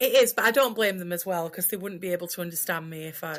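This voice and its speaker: Fairly low in pitch, a woman with a Yorkshire accent speaks at a very fast pace with big swings in loudness, on a very clean recording with a silent background. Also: ordinary pitch variation. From Sheffield. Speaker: podcast guest, co-host of another podcast.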